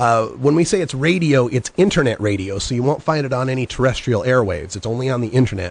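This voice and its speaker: This man talks at a very fast pace with hardly any pauses. His intonation is lively and his voice somewhat breathy. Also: dry sound with no echo. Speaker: marijuana legalization radio host and activist; marijuana legalization radio host. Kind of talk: conference presentation and Q&A. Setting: Skype video call. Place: studio. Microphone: studio mic.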